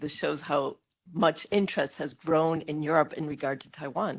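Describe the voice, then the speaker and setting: At a moderate pace, a woman with an American accent speaks in a very deep, low pitch. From United States. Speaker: panelist, policy analyst. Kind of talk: conference panel talk. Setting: conference hall.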